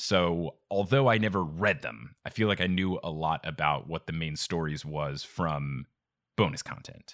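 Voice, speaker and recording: With lively intonation and a very deep, low pitch, a man talks at a fairly slow pace in a dry, close sound with no echo. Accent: American. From New Jersey. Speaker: podcast host. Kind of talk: casual chat.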